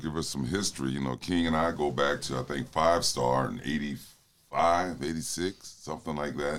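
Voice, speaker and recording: A man speaks at a moderate pace with vocal fry, ordinary pitch variation and hardly any pauses. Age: 50s. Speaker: college basketball assistant coach. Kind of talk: casual interview.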